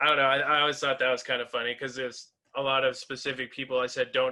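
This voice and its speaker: Speaking very fast with an Upper Midwest accent, the man keeps a medium pitch. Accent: Upper Midwest American. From US Midwest, North Dakota. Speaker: metal band frontman. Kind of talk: interview.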